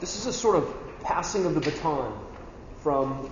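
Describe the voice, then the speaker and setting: With audible room echo and noticeable background noise, a man speaks at a moderate pace. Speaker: church leadership trainer. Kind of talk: talk to a men's training group. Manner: loud, sounds angry when raised.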